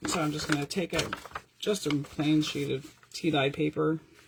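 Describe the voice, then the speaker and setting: A woman speaks with a very deep, low pitch and ordinary pitch variation over noticeable background noise. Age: 50s. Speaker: paper craft teacher. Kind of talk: tutorial. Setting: live stream from home craft room. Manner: fast; animated.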